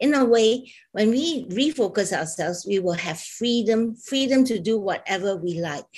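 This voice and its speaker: Against a quiet background, a woman talks at a moderate pace in a somewhat breathy, fairly high-pitched voice with lively intonation. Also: hardly any pauses. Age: 60s. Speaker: fashion business founder. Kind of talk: panel talk show discussion.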